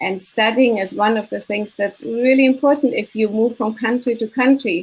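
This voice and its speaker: The speaker has a German accent and a somewhat breathy voice. Pitch varies in an ordinary way at a moderate pace. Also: woman, fairly high pitch for a woman. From Germany, Munich. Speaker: business consultant and mindset coach. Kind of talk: interview.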